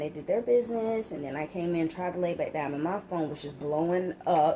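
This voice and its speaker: In an ordinary speaking voice, a woman talks at a fairly quick pace and a fairly low pitch over light background noise. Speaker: vlogger. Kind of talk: casual vlog chat. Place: kitchen. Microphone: phone near.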